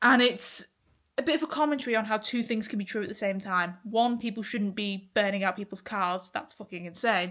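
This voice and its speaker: A woman with an English accent speaks at a fairly quick pace in a fairly high, bright, sharp voice with ordinary pitch variation, in a very clean recording with a silent background. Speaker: vlogger. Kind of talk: casual vlog monologue.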